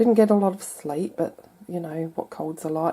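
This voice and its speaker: A woman speaks with a dark, mellow tone and fairly even intonation. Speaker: crafter. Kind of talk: tutorial. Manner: casual, chatty.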